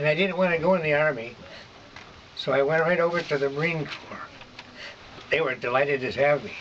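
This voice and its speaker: A man with a Midwestern American accent talks at a fairly quick pace, with long, frequent pauses. His intonation stays fairly even, and there is noticeable background noise. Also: fairly high pitch for a man. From Michigan. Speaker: war veteran. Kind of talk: oral history interview answer.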